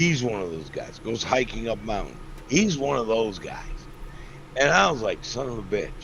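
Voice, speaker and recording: A man speaks at a moderate pace in a medium-pitched voice with lively intonation and an animated tone. Noticeable background noise and audible room echo are present. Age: 60s. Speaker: fan guest. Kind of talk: casual chat.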